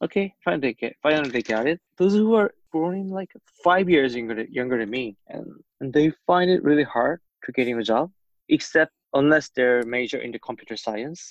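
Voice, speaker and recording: In a Korean accent, a man with a fairly high pitch speaks at a moderate pace with lively intonation, the sound dry and close with no echo. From South Korea. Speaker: podcast co-host. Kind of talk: casual chat.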